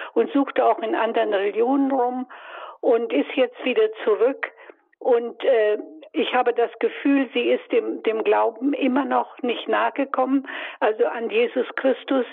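A woman speaks at a high pitch. Her loudness stays very even. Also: ordinary pitch variation. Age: 80s+. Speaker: caller. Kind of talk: phone-in question. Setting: phone call. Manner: halting.

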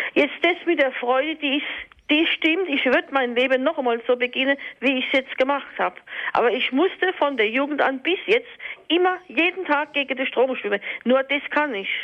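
A woman talks at a moderate pace with a high pitch. Noticeable background noise can be heard. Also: ordinary pitch variation. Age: 50s. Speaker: caller. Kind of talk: testimony.

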